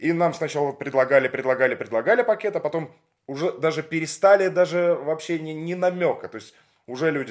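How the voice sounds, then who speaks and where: A man talks at a fairly quick pace in an unremarkable speaking voice. His pitch is fairly high, and his intonation is lively. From Russia, Leningrad. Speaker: podcast host, former radio presenter. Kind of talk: interview. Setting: at the guest's home.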